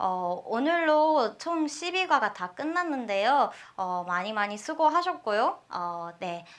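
A woman's high-pitched voice, very slow with hardly any pauses, swinging very widely in pitch over a quiet background. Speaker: language teacher. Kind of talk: lecture.

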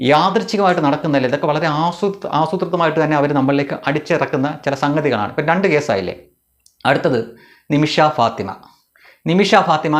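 A man uses an ordinary speaking voice, fairly high in pitch, with ordinary pitch variation and very even loudness. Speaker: political commentary YouTuber. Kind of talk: monologue commentary.

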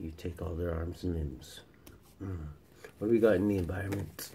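A somewhat breathy voice with a dark, mellow tone over light background noise. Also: man. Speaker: tarot reader. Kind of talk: casual tarot reading chat. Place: home room. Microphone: phone near.

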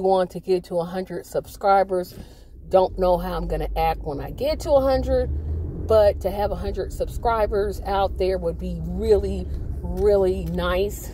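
There is light noise in the background. A woman speaks, and the sound is dry with no echo. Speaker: channel host. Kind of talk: casual vlog chat. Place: car. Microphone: phone near.

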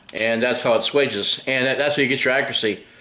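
In a room with audible echo, a man talks at a fairly quick pace. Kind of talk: casual vlog chat. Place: garage. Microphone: phone near.

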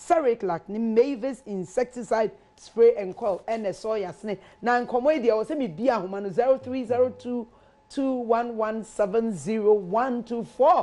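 Her tone is dark and mellow, and her pitch fairly high. The woman keeps a moderate pace with ordinary pitch variation. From Ghana. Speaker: talk show host; TV show host. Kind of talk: sponsor shout-outs; casual chat. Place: studio. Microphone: lapel.

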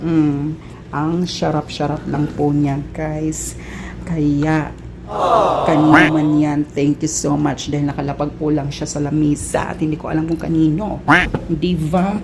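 Amid noticeable background noise and audible room echo, a woman speaks in a very deep, low voice. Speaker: overseas worker vlogger. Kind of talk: casual cooking vlog. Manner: animated.

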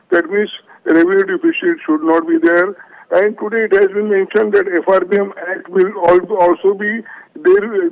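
A man speaks in a high voice at a moderate pace with ordinary pitch variation. Noticeable noise sits in the background. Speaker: business executive. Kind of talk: panel discussion. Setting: remote call.

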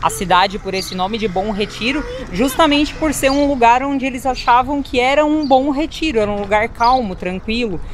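Pitched high, a woman talks at a moderate pace with lively intonation, the sound dry with no echo and a little background noise behind her. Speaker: travel vlogger. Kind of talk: casual vlog chat. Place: street. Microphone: phone near.

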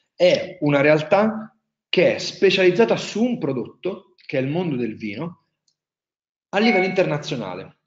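A man's high-pitched voice with a strong Marche accent, lively intonation, a moderate pace, long and frequent pauses, and audible room echo. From central Italy, Marche. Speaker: wine tourism entrepreneur; webinar presenter. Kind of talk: webinar presentation. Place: home room.

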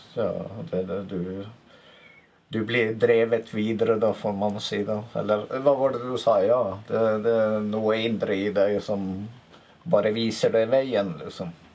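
A man speaks at a fairly slow pace with long, frequent pauses. His medium-pitched voice keeps a fairly even intonation. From Northern Norway, Finnmark. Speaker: video maker. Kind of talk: scripted narration. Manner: halting.

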